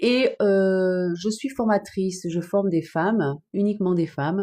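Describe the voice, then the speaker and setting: In a southern French accent, a woman speaks with a dark, mellow tone and ordinary pitch variation against a quiet background. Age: 50s. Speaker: online business trainer. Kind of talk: live stream chat. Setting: TikTok live stream. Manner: hesitant, many fillers.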